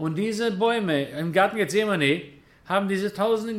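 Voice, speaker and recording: A man's lively intonation at a moderate pace. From Germany, then Israel from age 11. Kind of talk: lecture. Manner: casual, conversational.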